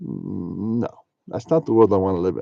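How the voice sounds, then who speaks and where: Over a quiet background, a man speaks at a fairly quick pace. His pitch is fairly low, with ordinary variation. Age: 60s. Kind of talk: religious monologue to camera. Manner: animated, talks to himself.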